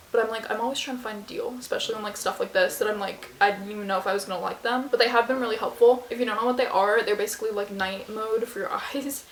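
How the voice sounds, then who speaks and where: Over noticeable background noise, a woman with a fairly high pitch talks at a very fast pace with hardly any pauses and fairly even intonation. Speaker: lifestyle YouTuber. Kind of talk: casual product review vlog. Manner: casual, many fillers.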